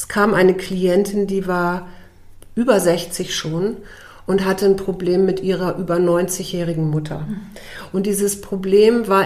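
Her pitch medium and her intonation fairly even, a woman speaks at a very slow pace. Audible room echo surrounds her voice. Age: 50s. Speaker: coach and nature therapist, former TV journalist. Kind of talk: casual interview.

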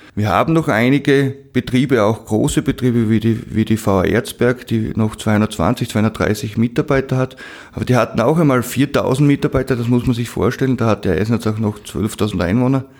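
A man of medium pitch in an unremarkable speaking voice, at a moderate pace with very even loudness, ordinary pitch variation and hardly any pauses. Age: 30s. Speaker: mayor and school headteacher. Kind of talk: podcast interview.

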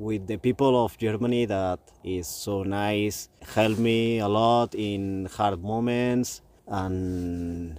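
A man speaks very slowly with a Spanish accent. His pitch is fairly low, with ordinary pitch variation. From Spain. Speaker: touring cyclist. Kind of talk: casual chat. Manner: halting.

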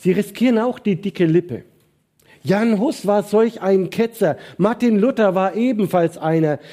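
With a dark, mellow tone, a man talks at a fairly slow pace in a high pitch, using ordinary pitch variation. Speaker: preacher. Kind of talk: sermon. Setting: church livestream. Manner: animated; emphatic, rhetorical.

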